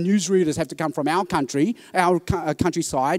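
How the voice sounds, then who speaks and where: Very fast speech from a man with an Australian accent comes through in a dry, close sound with no echo. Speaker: preacher. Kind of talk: conference talk.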